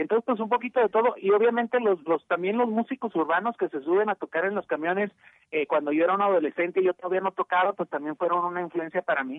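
Very fast speech from a high-voiced man, his pitch varying in an ordinary way. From Mexico. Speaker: rock musician. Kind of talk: radio interview. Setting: phone call.

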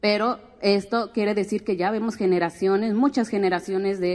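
An unremarkable speaking voice from a woman at a medium pitch, moderate pace and fairly even intonation. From Mexico, Guadalajara and Oaxaca. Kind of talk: talk at a public forum.

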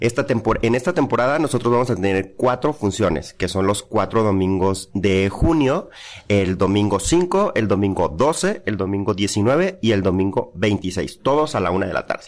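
A man speaks in an ordinary speaking voice at a moderate pace, his fairly low pitch carried by lively intonation with hardly any pauses. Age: 40s. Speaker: actor and playwright. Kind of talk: interview.

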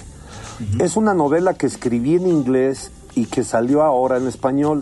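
A man speaks at a fairly slow pace with lively intonation and a medium pitch, with music playing in the background. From Mexico, raised partly in the US. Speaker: novelist and diplomat. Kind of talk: casual chat.

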